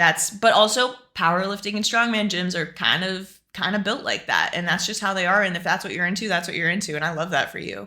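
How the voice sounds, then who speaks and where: With a bright, sharp tone, a woman speaks at a very fast pace and medium pitch, with fairly even intonation and hardly any pauses. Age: 20s. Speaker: fitness streamer. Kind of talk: casual live-stream Q&A.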